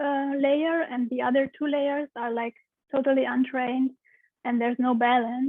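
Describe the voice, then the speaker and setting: This woman has a Romanian accent and a high pitch. Her intonation is monotone and flat. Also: moderate pace. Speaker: pelvic steam practitioner. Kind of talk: interview answer.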